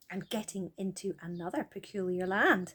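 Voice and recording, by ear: At a fairly slow pace, a woman speaks in a slightly mellow tone with a slightly husky edge.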